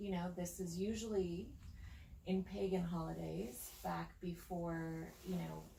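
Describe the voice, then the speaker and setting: Audible room echo colors this recording. A woman talks at a fairly slow pace. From Spain. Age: 40s. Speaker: psychic and spiritual guide. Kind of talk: casual chat.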